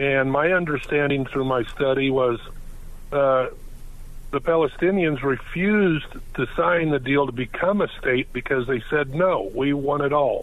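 A man at a fairly high pitch and fairly slow pace, very even in loudness, with ordinary pitch variation, a plain, everyday voice. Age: 60s. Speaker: caller. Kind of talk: call-in. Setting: phone call.

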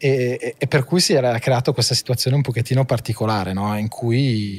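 The very clean recording, silent in the background and dry and close with no echo, captures a man's somewhat breathy voice at medium pitch with ordinary pitch variation. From northern Italy, Monza (Brianza). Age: 30s. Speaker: family business executive. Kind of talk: interview. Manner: halting.

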